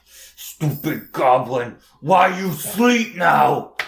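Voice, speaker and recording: A growling, put-on character voice moves at a very slow pace. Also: man, fairly high pitch for a man. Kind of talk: broken, simple speech. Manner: dim, aggressive.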